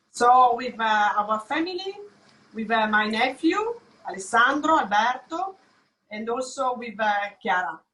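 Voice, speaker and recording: With an Italian accent, a woman speaks high and fairly slowly in a bright, sharp tone, her pitch swinging very widely, her loudness rising and falling a lot, and long pauses coming often. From Italy. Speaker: home cook. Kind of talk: cooking demonstration.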